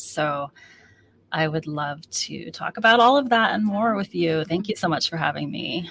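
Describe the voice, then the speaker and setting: Using a normal speaking voice, a woman with an American accent speaks at a moderate pace in a fairly low pitch with ordinary pitch variation. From United States. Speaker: author. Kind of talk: interview. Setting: video call.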